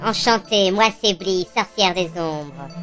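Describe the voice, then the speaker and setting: A female-sounding voice of medium pitch performs a put-on character voice at a fairly slow pace. Clear music plays in the background. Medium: audio drama. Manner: brash and vulgar.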